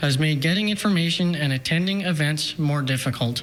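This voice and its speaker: This man has a Canadian accent and a plain, everyday voice, pitched fairly high for a man. He talks at a moderate pace with ordinary pitch variation. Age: 20s. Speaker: mayoral candidate. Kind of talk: political speech. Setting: TV studio.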